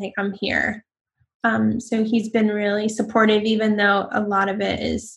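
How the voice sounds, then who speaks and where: Somewhat breathy and fairly high-pitched, a woman speaks at a fairly slow pace. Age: 40s. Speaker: interview guest sharing personal story. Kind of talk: casual chat.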